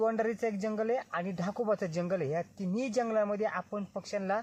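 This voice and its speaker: Here is a man with a high pitch. His pitch varies an ordinary amount. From Junnar, Pune district, Maharashtra, India. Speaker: village vlogger, wildlife water volunteer. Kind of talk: vlog narration. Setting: outdoors in forest.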